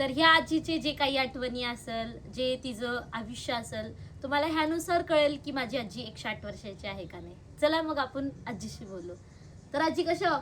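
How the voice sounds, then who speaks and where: High in pitch, a woman speaks with lively intonation. Her loudness swings widely. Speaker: vlogger interviewing her grandmother. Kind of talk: casual talk to camera and interview questions.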